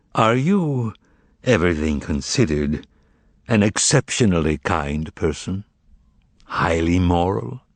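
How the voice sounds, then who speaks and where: A booming, put-on character voice from a man, very deep and low in pitch, at a fairly slow pace with long, frequent pauses. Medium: read story. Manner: commanding, ironic.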